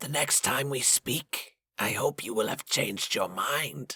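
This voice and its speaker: A man puts on a raspy character voice at medium pitch, speaking at a fairly slow pace with ordinary pitch variation, in a dry, close sound with no echo. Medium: read story. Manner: smooth, unhurried, menacing.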